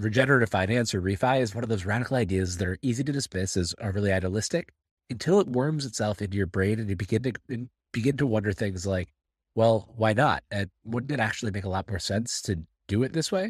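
Talking very fast over a quiet background, a man uses a fairly low, somewhat breathy voice with ordinary pitch variation, recorded dry and close with no echo. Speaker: newsletter writer reading own essay. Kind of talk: reading aloud.

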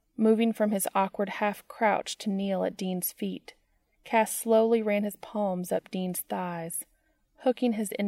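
Over a quiet background comes plain reading aloud.

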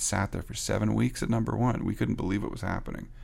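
A man talks with vocal fry. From Canada. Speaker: record producer and songwriter. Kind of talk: interview. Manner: halting.

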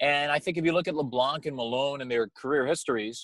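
A man with an American accent speaks at a fairly quick pace in a fairly high voice, the sound dry and close with no echo. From Long Island, New York. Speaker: team broadcaster. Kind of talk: casual interview.

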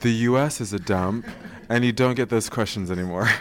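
With an American accent, a man speaks at a medium pitch with ordinary pitch variation. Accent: sounds American. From England, with US teen years. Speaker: podcast host. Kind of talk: casual chat. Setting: stage with audience.

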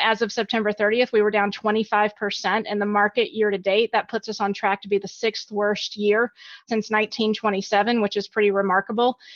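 This woman speaks with an American accent at a fairly high pitch. She moves at a fairly quick pace in a flat monotone. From US South, Alabama. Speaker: equity strategist. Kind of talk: interview.

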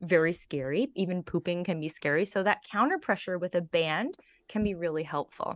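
A woman with a normal speaking voice, fairly low in pitch, talks at a moderate pace, dry and close with no echo over a quiet background. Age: 40s. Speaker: Pilates and pelvic health trainer. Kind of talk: casual interview.

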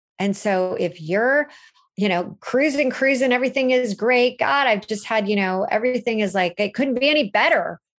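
Lively intonation rides over a Californian accent at a moderate pace. The loudness stays very even against a quiet background. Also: woman, fairly high pitch for a woman. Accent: Californian American. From Los Angeles, US. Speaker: relaunch coach. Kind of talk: interview. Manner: animated.

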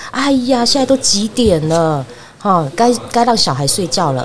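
With noticeable background noise behind her, a woman speaks at a moderate pace, her pitch swinging very widely. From Taiwan, Fengshan, Kaohsiung. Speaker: market vendor's daughter sharing childhood memories. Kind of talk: casual interview.

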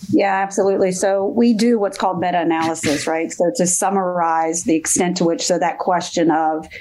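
A woman talks at a moderate pace with ordinary pitch variation in a plain, everyday voice. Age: 50s. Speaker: professor and bullying researcher. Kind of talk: interview.

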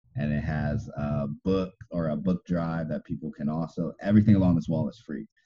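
A man's very deep, low voice at a moderate pace, with music in the background. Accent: American. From Southern California, inland Los Angeles area. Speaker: architect. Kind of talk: interview. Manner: halting, many fillers and restarts.

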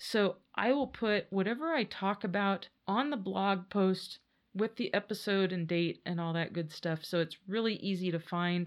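A woman with an unremarkable speaking voice at medium pitch, ordinary pitch variation, a moderate pace and hardly any pauses, against a quiet background. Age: 50s. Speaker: podcast host. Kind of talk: casual solo monologue. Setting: home podcast studio.

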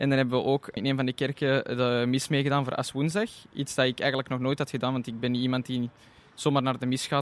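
A normal speaking voice from a man, medium in pitch, at a fairly quick pace. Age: 20s. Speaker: tourism student intern. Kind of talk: interview.

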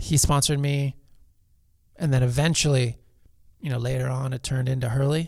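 With an American accent, a man speaks at a moderate pace and a medium pitch, somewhat breathy, leaving long, frequent pauses. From Los Angeles, California. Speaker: pro surfer and foundation founder. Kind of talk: casual interview.

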